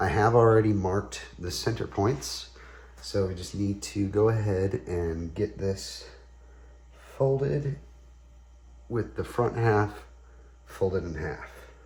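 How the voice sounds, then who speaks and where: Relaxed and somewhat breathy, a man with a fairly low pitch speaks at a very slow pace, swinging very widely in pitch and leaving long, frequent pauses. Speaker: tie-dye artist. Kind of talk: tutorial talk to camera. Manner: casual, relaxed.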